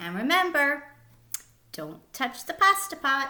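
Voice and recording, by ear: A slow, put-on character voice with a bright, sharp tone and big pitch swings. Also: woman, high pitch for a woman.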